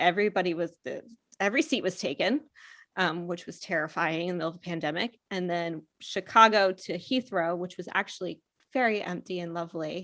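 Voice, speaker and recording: A woman's bright, sharp tone at medium pitch, with an American accent and a moderate pace, on a very clean recording against a silent background. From US, Pennsylvania. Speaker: marketing agency co-founder. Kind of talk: podcast interview.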